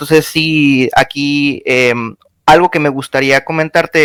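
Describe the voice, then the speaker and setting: A man's fairly high-pitched voice with fairly even intonation, dry and close with no echo, on a very clean recording over a silent background. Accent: Mexican. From Mexico. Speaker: caller on live stream. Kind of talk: casual debate chat. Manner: halting, many fillers.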